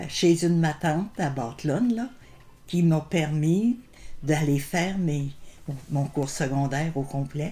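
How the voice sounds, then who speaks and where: Music plays behind a woman with a Quebec accent. Her pitch is very deep and low, her intonation lively, and her pace fairly slow. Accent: rural Quebec French. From Quebec, Bellechasse region. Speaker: elder sharing life memories. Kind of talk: oral history interview. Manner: hesitant, many fillers and repetitions.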